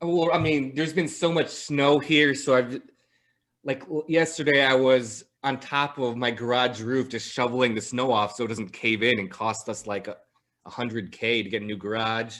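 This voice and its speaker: A man with an American accent speaks at a moderate pace, his medium pitch showing ordinary variation. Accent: slight Midwestern, comes out at times. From Chicago area, northern suburbs. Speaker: podcast host. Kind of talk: casual interview chat.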